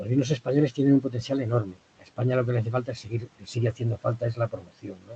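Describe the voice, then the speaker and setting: A man talks at a very fast pace in a somewhat breathy, dark, mellow tone, with medium pitch and fairly even intonation. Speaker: trade consultant on Japanese wine market. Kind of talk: webinar presentation.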